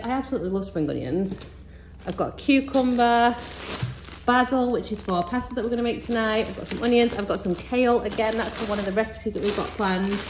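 Fairly quick speech with ordinary pitch variation over light background noise. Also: woman. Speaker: mum vlogger. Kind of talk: casual haul vlog chat. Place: kitchen. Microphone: phone near.

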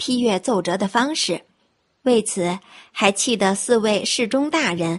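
Simple reading aloud with a silent backdrop.

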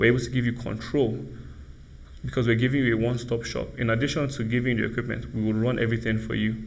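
Talking at a very fast pace, a man uses a medium pitch and fairly even intonation, with vocal fry. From Nigeria. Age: young. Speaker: entrepreneur; TV guest. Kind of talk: panel discussion. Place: studio. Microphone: lapel.

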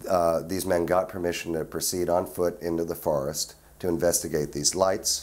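At a moderate pace, a man speaks in a very deep, low voice. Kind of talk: interview answer. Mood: earnest recounting.

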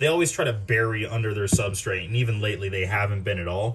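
This man talks with fairly even intonation in an ordinary speaking voice. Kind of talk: casual tour commentary. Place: home room. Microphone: phone near.

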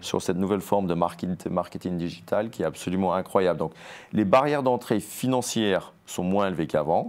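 A man speaks at a fairly quick pace. His voice is very deep and low, with ordinary pitch variation. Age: 50s. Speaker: entrepreneur, sportswear brand co-founder; guest. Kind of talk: TV interview. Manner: frequent word repetitions and hesitations. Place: studio.

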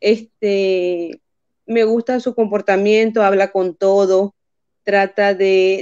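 A woman's dark, mellow tone against a quiet background. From Venezuela. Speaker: viewer joining live stream; guest. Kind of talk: casual chat. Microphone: video call.

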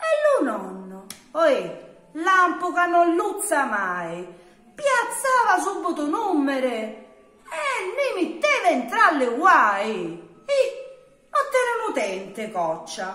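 The speech comes at a very slow pace in a southern Italian accent, with audible room echo. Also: woman. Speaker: poetry reciter. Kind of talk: dialect poetry reading. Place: home room. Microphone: phone near.

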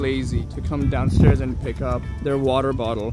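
A man talking at a fairly slow pace, dry with no echo, with music in the background. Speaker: vlogger filming friends. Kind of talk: casual vlog chat. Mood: amused, playful. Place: street. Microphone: phone near.

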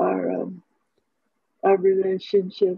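A woman is speaking over a quiet background. The sound is dry with no echo. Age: 70s. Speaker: stroke survivor and author. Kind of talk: interview conversation. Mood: reflective, personal. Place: home room. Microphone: headset.

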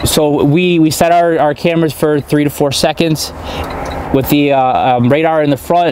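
A man at a moderate pace with fairly even intonation and light background noise. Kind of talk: equipment demonstration. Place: car.

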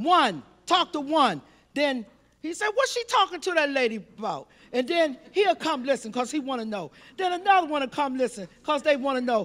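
Speaking at a fairly quick pace, a woman uses a high voice. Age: 60s. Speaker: audience member. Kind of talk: audience question. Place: hall. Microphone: handheld.

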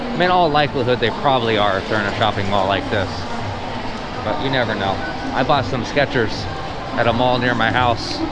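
Through loud background noise, a man speaks with long, frequent pauses. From California. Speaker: travel vlogger. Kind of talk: vlog walking tour narration. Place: shop. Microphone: phone near.

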